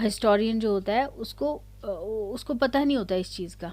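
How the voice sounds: Natural reading voice throughout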